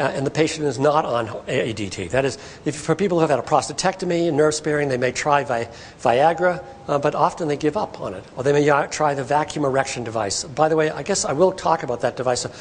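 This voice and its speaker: The voice moves at a very fast pace with ordinary pitch variation against noticeable background noise. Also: man, fairly high pitch for a man. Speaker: professor giving a health talk. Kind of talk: public lecture to patients and partners. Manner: animated, can speed up when excited.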